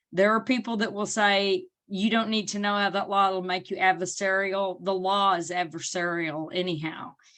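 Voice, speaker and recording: The speaker has an Arkansas accent and a moderate pace with hardly any pauses. Intonation stays fairly even over a quiet background. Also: woman, medium pitch for a woman. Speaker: parent advocate. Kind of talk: panel presentation.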